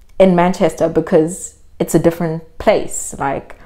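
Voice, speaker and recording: A woman with a Zulu accent, medium pitch and moderate pace. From South Africa, Durban. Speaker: vlogger. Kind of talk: casual vlog monologue. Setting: in South Africa.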